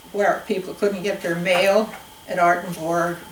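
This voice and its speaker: With a Pacific Northwest accent, a woman talks in a medium pitch. There is audible room echo. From Spokane Valley, Washington. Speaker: oral history interviewee. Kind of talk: oral history interview. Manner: halting.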